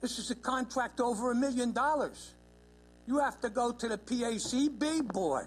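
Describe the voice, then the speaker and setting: Over music in the background, the speaker talks at a moderate pace in an animated tone. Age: 80s+. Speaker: public commenter at county legislature. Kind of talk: public comment testimony.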